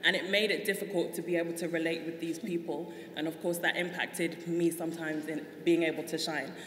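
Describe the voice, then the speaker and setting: A woman's fairly low, monotone, flat voice with a London accent at a fairly quick pace, amid noticeable background noise and audible room echo. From South London, England. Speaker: guest on a talk show. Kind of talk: interview.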